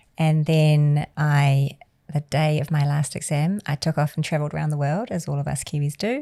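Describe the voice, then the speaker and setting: Over a quiet background, a woman with a New Zealand accent speaks at a moderate pace in a very deep, low, dark and mellow voice with fairly even intonation. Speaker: charity founder and CEO. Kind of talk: interview. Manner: casual, conversational.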